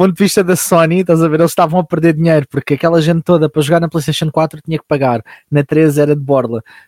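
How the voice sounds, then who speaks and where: In a dry, close sound with no echo, a man with a fairly high voice rushes along at a very fast pace, his intonation fairly even and with hardly any pauses. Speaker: voice actor and YouTuber. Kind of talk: casual chat.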